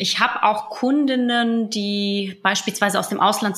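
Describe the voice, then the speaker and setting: A woman talks at a medium pitch, with noticeable background noise around her. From moved to Germany around age five, migrant background. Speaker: business coach and entrepreneur. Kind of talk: interview.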